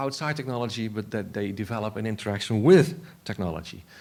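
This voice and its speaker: A man speaks at a fairly quick pace with a Dutch accent. The recording is very clean, with a silent background. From Netherlands. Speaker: philosopher of technology. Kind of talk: conference talk. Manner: halting.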